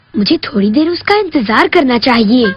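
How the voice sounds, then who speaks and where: A female-sounding, put-on character voice with a high pitch moves at a moderate pace over faint music in the background. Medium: fan dub. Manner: fussy, caring.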